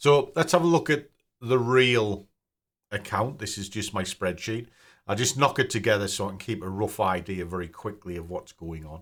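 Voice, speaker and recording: Lively intonation in a British accent, big swings in loudness, and a very clean recording with a silent background. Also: man, fairly low pitch for a man, moderate pace. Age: 50s. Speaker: personal finance YouTuber. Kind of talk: casual screen-share tutorial. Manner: casual, conversational.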